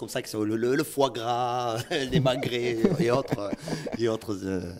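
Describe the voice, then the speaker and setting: With a Toulouse accent, a man speaks at a very slow pace and a medium pitch. His pitch varies in an ordinary way, against noticeable background noise. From Toulouse, southern France. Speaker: musician. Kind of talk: interview. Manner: hesitant, many fillers.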